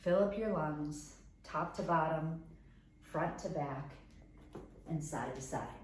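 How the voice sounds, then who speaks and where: With an American accent, a woman speaks at a very slow pace with long, frequent pauses, her very deep, low voice somewhat breathy, with a calm, gentle tone and ordinary pitch variation. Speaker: yoga teacher. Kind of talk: guided meditation and yoga instruction. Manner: calm, gentle, instructive.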